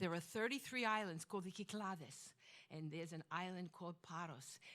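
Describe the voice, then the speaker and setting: A woman with a Brooklyn accent talks at a fairly quick pace in a fairly low pitch. Her pitch varies in an ordinary way. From Flatbush, Brooklyn, New York (born in Greece, emigrated at 2). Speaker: storyteller. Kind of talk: storytelling performance. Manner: animated.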